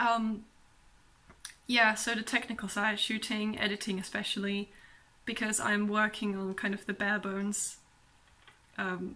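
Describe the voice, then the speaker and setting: A woman speaks at a fairly slow pace with long, frequent pauses. Her fairly high voice stays flat and monotone. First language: not English, also speaks German. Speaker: book vlogger. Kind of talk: casual vlog monologue. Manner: hesitant, many pauses and ums.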